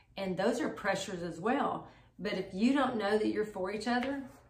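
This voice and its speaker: There is audible room echo as a woman of medium pitch talks at a moderate pace with ordinary pitch variation. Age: 60s. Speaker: married couple sharing marriage advice. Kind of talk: casual chat.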